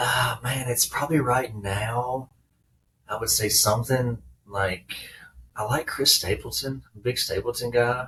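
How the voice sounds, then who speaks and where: In a strong Southern accent, a man talks at a fairly slow pace with long, frequent pauses. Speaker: former baseball player, business owner. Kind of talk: podcast interview.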